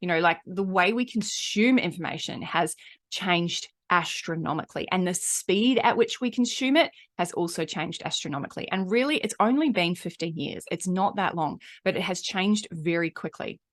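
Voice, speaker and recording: A woman speaks at a medium pitch and a moderate pace with a slight New Zealand accent. Her intonation is lively, and the background is quiet. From New Zealand, Auckland. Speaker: marketing coach and podcaster. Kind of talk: podcast monologue. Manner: animated.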